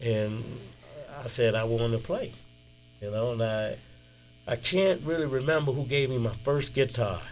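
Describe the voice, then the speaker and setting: In a Southern US accent, a man speaks with long, frequent pauses. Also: medium pitch for a man, ordinary pitch variation, moderate pace. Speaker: blues musician. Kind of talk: interview. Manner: casual, relaxed.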